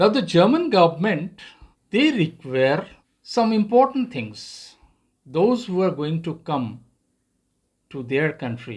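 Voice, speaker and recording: A man with a non-native accent and a high pitch talks at a fairly slow pace with very wide pitch swings in a very clean recording with a silent background. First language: not English. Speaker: YouTuber. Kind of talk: tutorial. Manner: halting.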